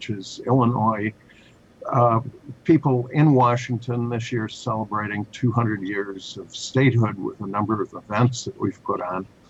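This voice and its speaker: With an American accent, a man of medium pitch talks at a moderate pace with fairly even intonation over noticeable background noise. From Chicago. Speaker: author. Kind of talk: interview. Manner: hesitant, many fillers.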